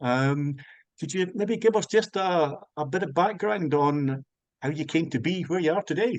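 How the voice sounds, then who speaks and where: A man with a Scottish accent speaks at a moderate pace in a fairly high pitch, his intonation lively. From Scotland. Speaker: music interviewer. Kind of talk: interview. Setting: video call. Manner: halting.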